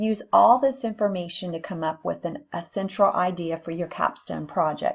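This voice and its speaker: A woman talks in a normal speaking voice at a medium pitch, with lively intonation and a moderate pace. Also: hardly any pauses. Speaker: nursing instructor. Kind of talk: recorded lecture.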